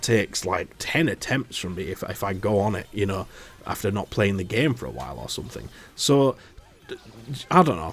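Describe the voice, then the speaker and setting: There are long, frequent pauses as a man speaks at a fairly low pitch. His pitch swings very widely. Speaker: gaming YouTuber. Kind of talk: casual video commentary. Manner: halting.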